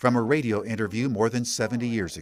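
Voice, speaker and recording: At a fairly quick pace, a man talks in a normal speaking voice with medium pitch. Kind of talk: public radio feature narration.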